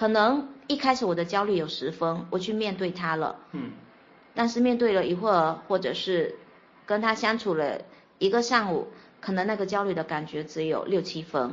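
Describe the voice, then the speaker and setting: A plain, everyday voice from a woman, medium in pitch with lively intonation. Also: moderate pace. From Fuzhou, Fujian, China. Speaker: podcast guest sharing life story. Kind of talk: personal testimony in interview.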